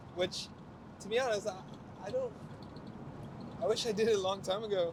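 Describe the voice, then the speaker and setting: Noticeable background noise sits behind a man who speaks at a moderate pace in a high voice. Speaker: car vlogger. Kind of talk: casual vlog talk while driving. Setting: in a convertible car while driving. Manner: halting with repetitions.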